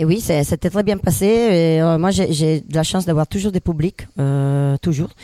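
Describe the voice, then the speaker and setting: In an Italian accent, a woman speaks with a dark, mellow tone, fairly low pitch and ordinary pitch variation, the sound dry and close with no echo. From northern Italy. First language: Italian (speaking French). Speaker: comedian. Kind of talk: casual chat.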